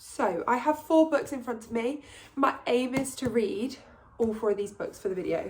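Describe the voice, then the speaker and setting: A woman talks in an English accent. Her intonation is lively. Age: 20s. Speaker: book vlogger. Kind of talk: casual vlog talk to camera. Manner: chatty.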